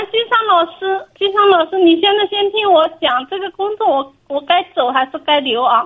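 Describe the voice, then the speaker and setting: Her pitch is extremely high for a woman, and her intonation is lively. She keeps a moderate pace. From Hunan, China. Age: 20s. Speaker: caller, shoe factory temp worker. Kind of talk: phone-in advice call.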